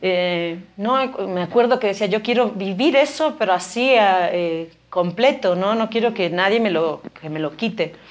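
Here a woman has an unremarkable speaking voice at a medium pitch. Her intonation is lively. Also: fairly slow pace. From Spain (Galicia). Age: 40s. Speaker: biologist and educator, mother. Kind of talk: casual interview.

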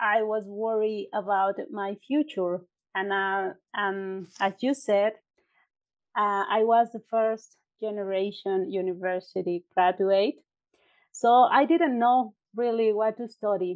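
A woman's medium-pitched voice with a Mexican accent, very slow, with ordinary pitch variation. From Mexico (Puebla, then State of Mexico). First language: Spanish. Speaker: entrepreneur and university graduate. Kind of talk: interview, casual chat. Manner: hesitant, some pauses and filler.

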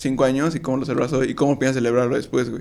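Very fast speech from a man, medium in pitch and fairly even in intonation. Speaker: podcast co-host. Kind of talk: casual chat.

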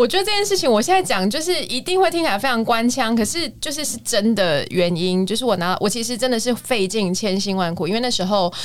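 Her pitch is fairly high and swings very widely. The woman talks very fast with hardly any pauses. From Taiwan, Kaohsiung. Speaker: musical theatre singer and voice teacher. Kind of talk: casual chat.

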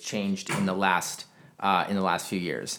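Lively intonation from a fairly low-pitched man at a moderate pace, with noticeable background noise. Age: 20s. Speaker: podcast host. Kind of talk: casual chat.

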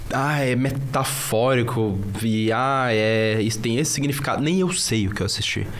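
A man at a moderate pace and very even loudness, with audible room echo and noticeable background noise. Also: medium pitch for a man, ordinary pitch variation. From northern Brazil (Sergipe, Pará). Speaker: youtuber. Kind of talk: casual chat.

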